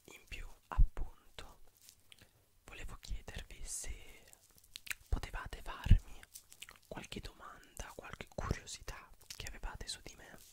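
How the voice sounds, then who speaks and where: A man whispers at a fairly slow pace, with long, frequent pauses. His loudness swings widely. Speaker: ASMR creator. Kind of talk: ASMR whispering, relaxing talk to camera. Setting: studio, close microphone. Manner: whispered, soft-spoken, slow. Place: home room. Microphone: studio mic.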